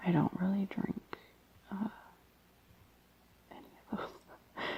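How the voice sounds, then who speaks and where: A woman's whisper comes very slowly through noticeable background noise. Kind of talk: casual chatty commentary while reading aloud. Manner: soft-spoken, whispered.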